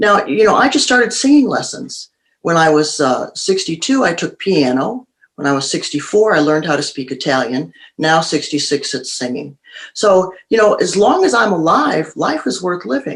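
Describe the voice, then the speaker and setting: A woman with a fairly low pitch speaks at a moderate pace, her voice swinging very widely in pitch. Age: 60s. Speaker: author and show host. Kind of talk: interview.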